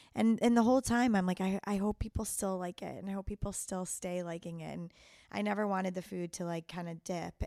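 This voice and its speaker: A woman with a Chicago accent speaks at a medium pitch in a dark, mellow tone, captured in a very clean recording with a silent background. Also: dry, close sound with no echo. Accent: Chicago accent, noticed by herself. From US Midwest, Chicago. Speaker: chef. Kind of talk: casual interview. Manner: hesitant, many ums.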